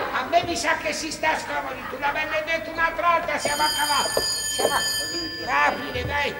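With a Florentine accent, a man talks at a moderate pace, pausing long and often against loud background noise. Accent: Florentine Tuscan vernacular. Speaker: stage actor. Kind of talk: stage comedy performance. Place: stage. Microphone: camera far.

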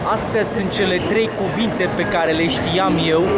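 Loud background noise runs behind the recording. Over it, a man speaks with ordinary pitch variation. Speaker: travel vlogger. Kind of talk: casual vlog chat. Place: station. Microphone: phone near.

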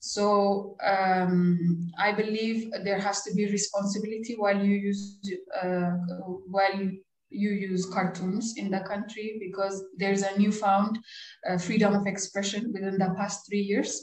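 A woman speaks at a fairly slow pace in a monotone, flat intonation. The room echo is audible. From Ethiopia, Addis Ababa; Ethiopia. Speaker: cartoonist; interviewee. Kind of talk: interview. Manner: halting, many fillers. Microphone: video call.

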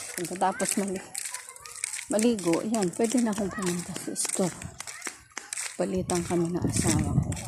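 A woman's medium-pitched voice with ordinary pitch variation, at a moderate pace with long, frequent pauses, over noticeable background noise. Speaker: family vlogger. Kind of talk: casual walking vlog narration. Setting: outdoors.

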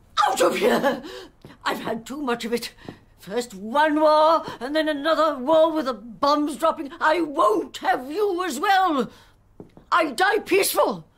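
A put-on character voice speaks at a fairly slow pace with high pitch. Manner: fearful, hostile.

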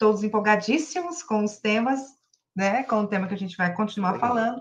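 Her voice is fairly high-pitched and somewhat breathy. The woman speaks at a moderate pace with ordinary pitch variation. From Brazil. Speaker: livestream moderator. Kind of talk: casual chat. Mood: warm, enthusiastic. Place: home room. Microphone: webcam.

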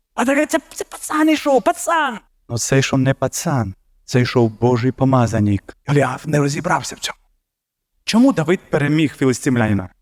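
The recording is dry and close, with no echo. A man talks at a moderate pace. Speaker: preacher. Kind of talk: sermon.

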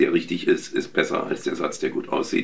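A man's voice sits at an extremely high pitch. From Berlin, Germany. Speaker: voice actor. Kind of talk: interview. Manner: hesitant with fillers. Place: home room.

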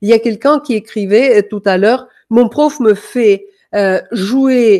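Speaking very slowly with a Danish accent, a woman uses a fairly high pitch and lively intonation. Her tone is dark and mellow against a quiet background. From Denmark. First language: Danish (speaking French). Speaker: music coach; music teacher. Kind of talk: online masterclass. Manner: hesitant, many fillers. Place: home room. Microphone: webcam.

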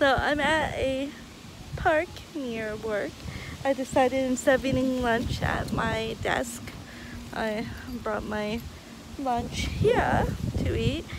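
A woman speaks very slowly with long, frequent pauses and ordinary pitch variation. The sound is dry with no echo, but loud background noise is present. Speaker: vlogger. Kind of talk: casual vlog chat. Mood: relaxed, laughing. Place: garden. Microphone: phone near.

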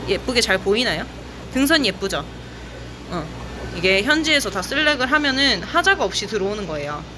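A woman speaks fairly quickly while noticeable background noise carries on behind her. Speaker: aquarium shop seller. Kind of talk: live stream sales commentary. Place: shop. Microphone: phone near.

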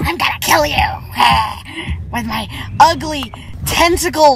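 A put-on character voice moves at a very slow pace. Clear background noise is present. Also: woman. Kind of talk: mocking comic impression. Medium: solo performance. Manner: menacing, hammy.

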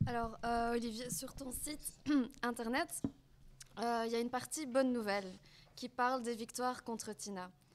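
Over noticeable background noise, a woman with a fairly high pitch speaks at a moderate pace with fairly even intonation and long, frequent pauses. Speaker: student activist, moderator; moderator. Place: hall. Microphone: podium.

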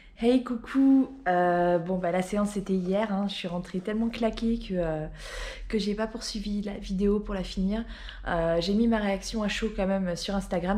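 Intonation remains fairly even in this woman's voice. She keeps a moderate pace. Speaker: vlogger. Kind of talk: casual vlog chat. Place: home room. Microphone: phone near.

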